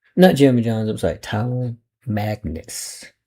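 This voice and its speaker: Somewhat breathy, this man's voice carries a dark, mellow tone. It stays breathy throughout. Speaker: online video commentator. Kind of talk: reaction commentary. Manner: talking low; halting.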